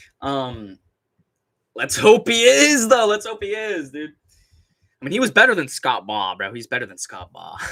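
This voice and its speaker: A man talks with big swings in loudness and long, frequent pauses. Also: moderate pace. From Southern California. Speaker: MMA YouTuber and live streamer. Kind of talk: casual live-stream commentary. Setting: live stream. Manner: animated.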